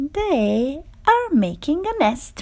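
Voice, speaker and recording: Putting on a character voice, a woman speaks at a high pitch with very wide pitch swings. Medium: read story. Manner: calm, matter-of-fact.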